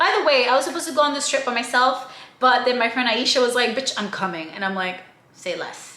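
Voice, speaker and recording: With a high pitch and lively intonation, a woman speaks at a fairly quick pace in a raised, projected voice. Audible room echo and noticeable background noise are present. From outside the US, moved to America. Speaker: travel vlogger and podcast co-host. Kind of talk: casual travel vlog. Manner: animated.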